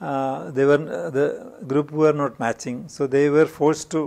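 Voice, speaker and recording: A man speaks with a Keralan accent at a moderate pace. His pitch is fairly high. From India, Kerala. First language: Malayalam. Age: 60s. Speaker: industrialist; interviewee. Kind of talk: interview. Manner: halting. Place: studio. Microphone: lapel.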